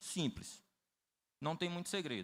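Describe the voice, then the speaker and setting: Recorded very cleanly against a silent background, a man speaks at a moderate pace with a fairly high pitch and a bright, sharp tone. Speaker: rural producer and credit project designer. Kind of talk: conference talk.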